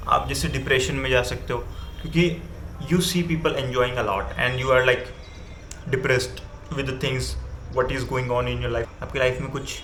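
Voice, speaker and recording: Long, frequent pauses break up a man's moderately paced speech. Behind him is noticeable background noise. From India. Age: 20s. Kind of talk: casual talk to camera. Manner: casual Hindi-English mix.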